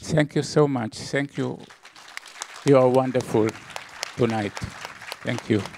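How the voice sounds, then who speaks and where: A man speaking at a very slow pace with long, frequent pauses and fairly even intonation, crowd noise in the background. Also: medium pitch for a man. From Israel. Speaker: film producer. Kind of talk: stage introduction. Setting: stage with audience. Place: hall. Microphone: handheld.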